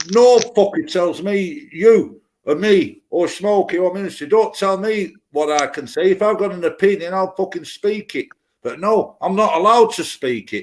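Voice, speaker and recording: Speaking at a moderate pace, a man with a British accent has a high-pitched voice. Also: lively intonation. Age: 50s. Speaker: live stream chat participant. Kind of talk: casual chat, political rant. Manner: animated.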